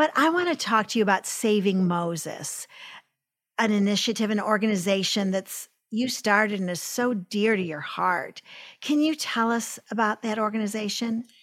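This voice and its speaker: With a plain, everyday voice, a woman speaks at a moderate pace in a fairly high pitch and with lively intonation. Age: 60s. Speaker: podcast host. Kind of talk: interview.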